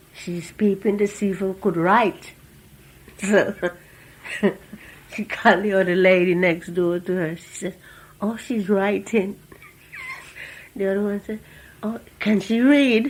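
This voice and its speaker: A woman with an Antiguan accent speaks at a fairly slow pace with long, frequent pauses and big swings in loudness over noticeable background noise. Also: medium pitch for a woman. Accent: Antiguan Caribbean English. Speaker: former factory worker, immigrant. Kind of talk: oral history interview answer.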